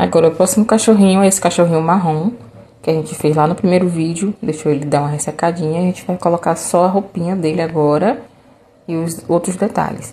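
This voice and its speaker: A woman's fairly low voice at a fairly quick pace with fairly even intonation, over noticeable background noise. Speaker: craft tutorial maker. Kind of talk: tutorial. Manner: casual, chatty.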